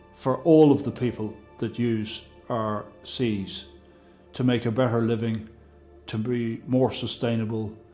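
A man's fairly even delivery over faint background music. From Ireland. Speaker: sea angling charter operator. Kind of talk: interview answer. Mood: calm, reflective. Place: waterside.

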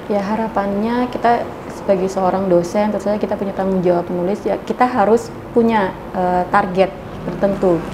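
Over noticeable background noise, a woman talks in a monotone with flat intonation. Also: medium pitch for a woman, moderate pace. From Indonesia, Lampung; Indonesia. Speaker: university lecturer. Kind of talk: interview. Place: studio.

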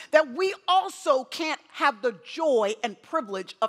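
Very wide swings in pitch from a woman. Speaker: guest preacher. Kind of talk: sermon. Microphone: headset.

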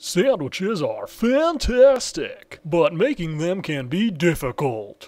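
A cartoonish character voice from a man, pitched high, at a fairly slow pace with hardly any pauses. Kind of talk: TV commercial read. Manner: upbeat.

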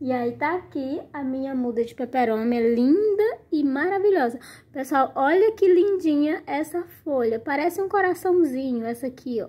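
A woman's high-pitched voice moves at a moderate pace, her intonation lively. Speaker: plant care video creator. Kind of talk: casual tutorial. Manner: animated.

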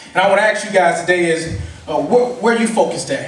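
Audible room echo carries a man's high-pitched voice, which moves at a moderate pace with ordinary pitch variation. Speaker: preacher / sermon speaker. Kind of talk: sermon to a live congregation. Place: hall.

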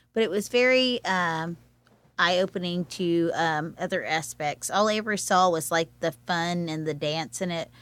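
At a moderate pace, a woman with a plain, everyday voice speaks in a fairly low pitch with ordinary pitch variation on a very clean recording with a silent background. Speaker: arts event organizer. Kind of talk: casual chat. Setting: studio.

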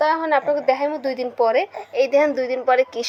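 A woman speaks in a high voice with a Bangladeshi accent. Noticeable background noise can be heard behind her. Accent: regional Bangladeshi dialect. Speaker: home cook, cooking video host. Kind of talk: cooking tutorial.

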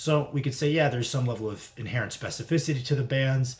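A man talks very fast in a somewhat breathy voice. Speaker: strength training vlogger. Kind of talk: casual lecture-style vlog. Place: home room. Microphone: webcam.

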